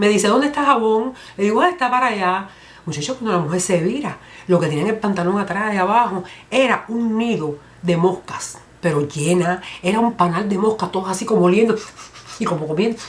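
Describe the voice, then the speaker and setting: Against noticeable background noise, a woman with a medium-pitched voice talks at a fairly quick pace with ordinary pitch variation. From Cuba. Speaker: comedian. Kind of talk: comedy monologue. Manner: humorous, lively.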